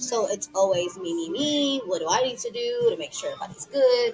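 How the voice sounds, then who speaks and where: Music plays in the background. A woman with an Eritrean accent speaks at a fairly quick pace. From Texas, Dallas. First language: Tigrinya. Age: 20s. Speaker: podcast guest. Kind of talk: casual chat.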